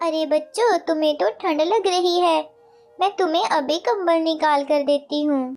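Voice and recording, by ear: A cartoonish character voice, female-sounding, pitched extremely high. The delivery moves at a fairly slow pace.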